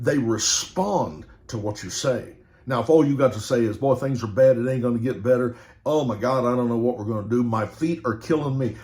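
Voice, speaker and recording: A man's medium-pitched voice with ordinary pitch variation, a fairly quick pace and audible room echo. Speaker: preacher. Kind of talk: sermon. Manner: animated.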